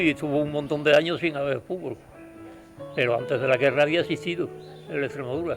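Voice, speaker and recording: A man with a fairly high-pitched voice speaks over music playing in the background. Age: 80s+. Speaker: football fan. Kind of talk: interview answer, reminiscing.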